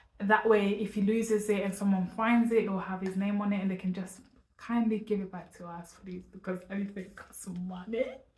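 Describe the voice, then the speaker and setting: Speaking at a fairly quick pace, a woman holds a monotone, flat intonation at medium pitch while her loudness swings widely. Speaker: parenting vlogger. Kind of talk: casual vlog to camera. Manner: fast.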